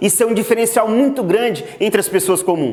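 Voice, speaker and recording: A high-pitched man talks at a moderate pace with lively intonation. Noticeable background noise and audible room echo are present. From Brazil, Mato Grosso interior. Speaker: agricultural GPS instructor. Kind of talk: online lecture.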